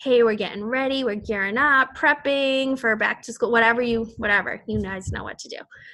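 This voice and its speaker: A bright, sharp tone with an American accent, very fast pace, ordinary pitch variation and big swings in loudness, over a quiet background. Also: woman, hardly any pauses. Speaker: fitness team coach. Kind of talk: team call briefing. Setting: group call. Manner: casual, rambling with fillers.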